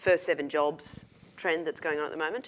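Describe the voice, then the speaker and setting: Speaking at a moderate pace with an Australian accent, a woman has a very deep, low pitch. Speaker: investigative reporter. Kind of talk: panel discussion.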